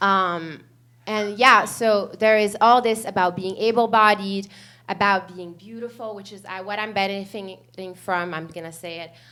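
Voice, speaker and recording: A woman talks at a fairly slow pace in a medium pitch. Audible room echo surrounds her voice. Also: big swings in loudness. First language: not English (English is third language). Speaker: panelist, bilingual therapist. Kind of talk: conference panel talk. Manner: halting, many fillers.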